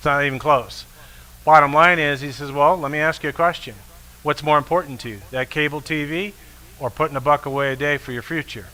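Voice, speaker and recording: Fairly high in pitch, a man talks at a fairly quick pace with big swings in loudness. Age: 60s. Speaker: financial advisor. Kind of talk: motivational talk. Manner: animated.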